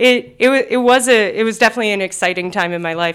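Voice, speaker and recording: The speaker has an American accent, captured in a very clean recording with a silent background. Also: woman. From US Northeast, South Jersey (Cherry Hill). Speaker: recovery program coordinator. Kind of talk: interview about personal recovery story. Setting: studio / conference room.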